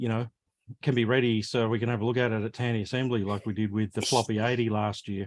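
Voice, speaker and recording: A man talks very fast in a monotone, flat delivery. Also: medium pitch for a man. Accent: Australian. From Australia. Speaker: live stream host, retro computer hobbyist. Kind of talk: casual chat. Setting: live stream video call.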